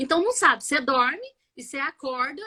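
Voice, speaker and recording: At a moderate pace, a woman projects a raised, high-pitched voice with a bright, sharp tone. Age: 40s. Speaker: biomedical scientist and multiple sclerosis patient. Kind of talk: live interview testimony.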